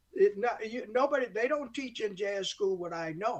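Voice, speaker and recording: A man with an American accent speaks at an extremely high pitch. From upstate New York (Olean). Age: 70s. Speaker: jazz saxophonist. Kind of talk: interview. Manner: halting, many restarts; talkative.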